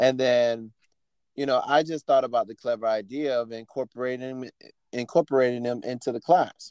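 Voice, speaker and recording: With an American accent, a man uses a normal speaking voice at medium pitch and a moderate pace, his intonation fairly even and the sound dry and close with no echo. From Miami, Florida. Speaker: choreographer and dance teacher. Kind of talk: casual interview chat.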